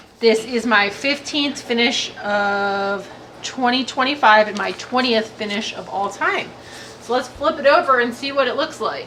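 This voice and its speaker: A woman speaks fairly slowly with a high pitch and ordinary pitch variation. Noticeable background noise runs underneath. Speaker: hobby vlogger. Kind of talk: casual vlog review. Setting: outdoors on a hike.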